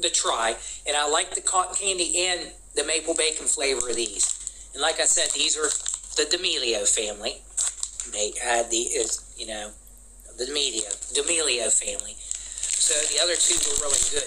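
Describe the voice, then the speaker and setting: Noticeable background noise behind a man's moderate pace, broken by long, frequent pauses. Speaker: snack reviewer. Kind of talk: casual food review vlog. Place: home room.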